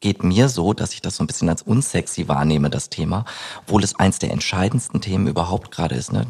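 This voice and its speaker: The man's voice is pitched very deep and low. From Germany, East Westphalia. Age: 30s. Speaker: labour market expert. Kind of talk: interview conversation. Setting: studio overlooking city skyline.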